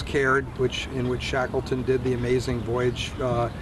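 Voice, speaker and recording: Amid noticeable background noise and audible room echo, a man with an American accent talks at a moderate pace. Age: 60s. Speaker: sailor. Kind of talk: interview.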